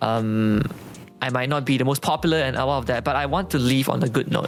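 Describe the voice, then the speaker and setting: Over noticeable background noise, a man talks at a fairly quick pace with very even loudness and ordinary pitch variation. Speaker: esports shoutcaster. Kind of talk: casual chat.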